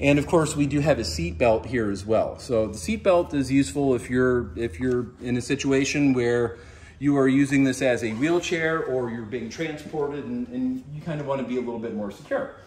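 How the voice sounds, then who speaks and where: A man speaks at a moderate pace with hardly any pauses and lively intonation. Light background noise is present. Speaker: product reviewer. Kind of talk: product demonstration. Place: home room.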